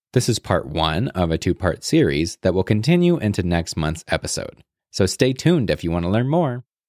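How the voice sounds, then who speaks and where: The sound is dry and close with no echo, and the recording is very clean with a silent background. Pitch swings very widely at a fairly quick pace. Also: man, fairly low pitch for a man. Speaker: podcast announcer. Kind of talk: scripted intro and outro.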